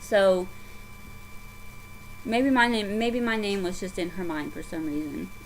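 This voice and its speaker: With a Southern US accent, a woman speaks at medium pitch and a moderate pace. Her pitch swings very widely, and room echo is audible. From US South. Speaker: craft vlogger. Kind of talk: casual chat. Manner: halting.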